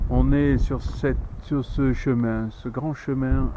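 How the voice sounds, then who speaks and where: There is noticeable background noise as a man speaks. His pace is very slow. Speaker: hiker filming a travel vlog. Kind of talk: casual walking vlog narration. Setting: outdoors on a hiking trail. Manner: soft-spoken.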